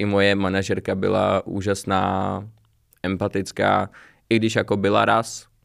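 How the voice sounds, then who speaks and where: On a very clean recording with a silent background, a man speaks fairly slowly in a fairly low pitch. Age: 20s. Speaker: small business owner. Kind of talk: casual interview.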